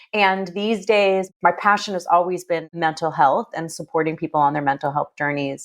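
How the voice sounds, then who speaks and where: The recording is very clean, with a silent background. A woman uses a normal speaking voice, fairly low in pitch, at a moderate pace with ordinary pitch variation. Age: 40s. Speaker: yoga educator and author. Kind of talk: casual interview chat.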